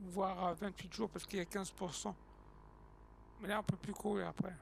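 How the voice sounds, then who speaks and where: A man's monotone, flat intonation holds as he talks fairly quickly. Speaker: gaming streamer. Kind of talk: live gameplay stream. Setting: live stream on TikTok. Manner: casual, hesitant with many fillers.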